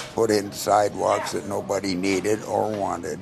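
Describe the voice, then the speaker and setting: A man's fairly low, monotone, flat delivery at a fairly slow pace, with music in the background. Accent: Upper Midwest. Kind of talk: news interview answer.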